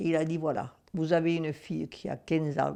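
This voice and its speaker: A woman speaks at a fairly slow pace. Her voice has a very deep, low pitch and a dark, mellow tone. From Camargue, southern France. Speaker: war witness. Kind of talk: testimony.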